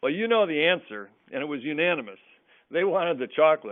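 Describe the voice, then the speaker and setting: A man at a moderate pace, with very wide pitch swings. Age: 60s. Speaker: food gift company owner, webinar presenter. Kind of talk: webinar presentation. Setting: webinar.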